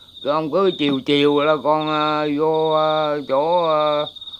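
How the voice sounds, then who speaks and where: Over noticeable background noise, a man with a fairly high voice speaks at a very slow pace. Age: 80s+. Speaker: elderly farmer. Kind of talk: casual chat. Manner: halting.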